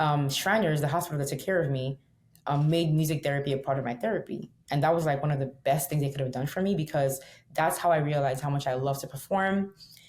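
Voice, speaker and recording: In a Nigerian accent, a woman talks at a very fast pace with a very deep, low pitch and a somewhat breathy voice. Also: ordinary pitch variation. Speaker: singer and plane crash survivor. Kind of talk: interview conversation.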